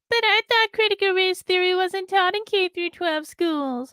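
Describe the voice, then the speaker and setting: Using a put-on character voice, a woman squeaks at an extremely high pitch, moving at a moderate pace. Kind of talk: exaggerated mocking voice. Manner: mocking.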